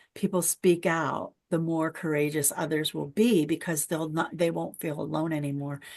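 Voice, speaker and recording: A woman with a fairly low pitch and fairly even intonation speaks at a moderate pace against a quiet background. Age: 60s. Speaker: podcast host. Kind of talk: casual interview chat. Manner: halting, with frequent repetitions.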